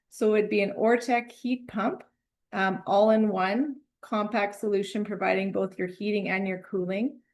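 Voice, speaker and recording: Speaking in an unremarkable speaking voice, a woman keeps a medium pitch, a moderate pace and fairly even intonation. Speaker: mechanical engineer. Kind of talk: technical presentation.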